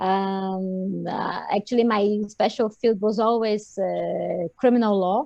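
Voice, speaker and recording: The intonation is fairly even. The sound is dry and close, with no echo. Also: woman. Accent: Portuguese. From Brazil. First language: Portuguese. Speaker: lawyer, crime prevention officer. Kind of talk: online panel introduction.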